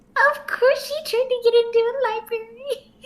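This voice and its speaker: The speaker puts on a character voice at a moderate pace. The intonation stays monotone and flat. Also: woman, extremely high pitch for a woman. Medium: actual play. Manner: excitable, bubbly.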